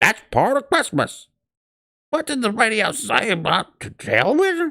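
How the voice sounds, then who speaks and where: Putting on a character voice, a man speaks gruffly and with a growl at an extremely high pitch, with very wide pitch swings and a moderate pace. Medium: read story. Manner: gruff, growling.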